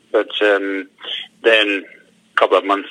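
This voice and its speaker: Speech in a Scottish accent at a moderate pace. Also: man. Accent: Scottish accent despite being Danish. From Denmark. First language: Danish. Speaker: retired footballer, football manager. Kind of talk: phone interview. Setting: phone call. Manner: halting, many fillers and repetitions.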